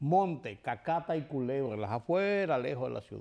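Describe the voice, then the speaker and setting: In a Dominican accent, a man with a fairly high pitch speaks at a moderate pace with very wide pitch swings against a quiet background. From Dominican Republic, Santo Domingo. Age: 70s. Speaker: TV news commentator. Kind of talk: TV commentary monologue.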